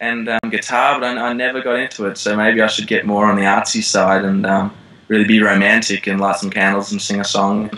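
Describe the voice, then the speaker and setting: Speaking fairly quickly in a flat monotone, a man with an Australian accent has a fairly low voice. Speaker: actor. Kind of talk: interview. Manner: hesitant, many fillers.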